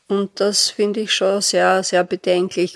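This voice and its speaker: This woman talks at a very slow pace, medium in pitch, with a monotone, flat intonation. The sound is dry and close, with no echo. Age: 70s. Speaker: retired pastor and activist. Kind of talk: casual interview. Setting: her living room.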